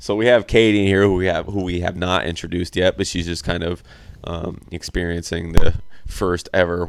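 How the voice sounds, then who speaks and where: With an American accent, a man speaks at a moderate pace in a very deep, low pitch. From Iowa, US Midwest. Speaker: podcast host. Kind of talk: casual chat. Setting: home game room with friends.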